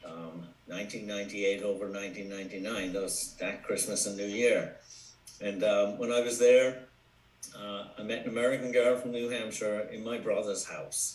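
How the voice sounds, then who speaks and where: A man with an Irish accent, fairly low in pitch and fairly even in intonation at a moderate pace, amid audible room echo and noticeable background noise. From Ireland, Cork City. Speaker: commercial real estate broker. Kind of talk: podcast interview.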